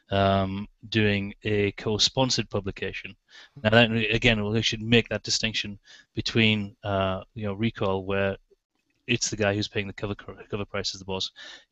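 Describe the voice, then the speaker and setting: Speaking with an English accent, a man holds a fairly low pitch. His intonation is monotone and flat, at a moderate pace. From England. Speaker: magazine editor. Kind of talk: podcast interview answer.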